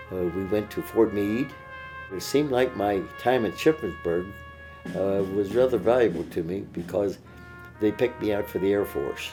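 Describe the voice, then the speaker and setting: Over music in the background, a man with a fairly low pitch speaks at a moderate pace with ordinary pitch variation. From Pennsylvania, USA. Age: 80s+. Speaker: WWII veteran. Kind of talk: interview answer.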